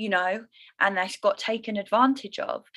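A woman's fairly high voice at a moderate pace, with ordinary pitch variation. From London. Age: 30s. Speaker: yoga teacher and lifestyle coach. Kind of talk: personal testimony in interview. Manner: bubbly.

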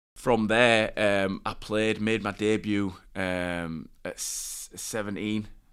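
Very slowly and with hardly any pauses, a man with a Yorkshire accent speaks in a fairly low, monotone, flat voice. The recording is very clean, with a silent background. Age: 20s. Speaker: professional rugby league player. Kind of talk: interview, personal story.

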